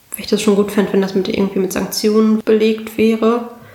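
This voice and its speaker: Noticeable background noise runs under this recording. A woman talks at a fairly quick pace in a monotone, flat intonation. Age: 20s. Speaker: state parliament member. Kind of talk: interview.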